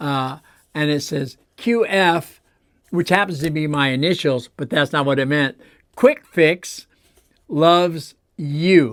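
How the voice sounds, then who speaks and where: Very slowly, a man talks in a fairly high voice on a very clean recording with a silent background. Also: ordinary pitch variation. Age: 60s. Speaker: toy collector, channel host. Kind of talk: casual show-and-tell. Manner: casual, halting with fillers.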